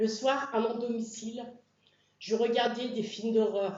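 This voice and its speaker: At a very slow pace, a woman speaks in a monotone, flat intonation at fairly high pitch, with audible room echo. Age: 60s. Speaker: church member being baptized. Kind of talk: testimony.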